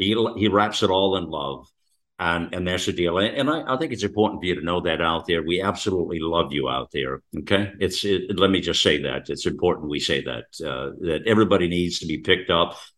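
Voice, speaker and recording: The speaker talks at a fairly quick pace with vocal fry and ordinary pitch variation. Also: man, very deep, low pitch for a man. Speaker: talk radio host. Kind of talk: talk radio conversation. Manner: rambling, many fillers.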